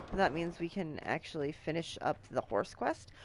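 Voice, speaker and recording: There's vocal fry as a woman speaks at a moderate pace. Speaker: game streamer. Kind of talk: live game streaming commentary. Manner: reading game text aloud.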